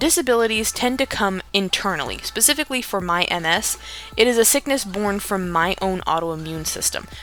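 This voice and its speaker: Over noticeable background noise, a woman talks fairly quickly at a medium pitch with lively intonation. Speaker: writing video creator. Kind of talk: casual vlog monologue. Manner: slurred speech at times.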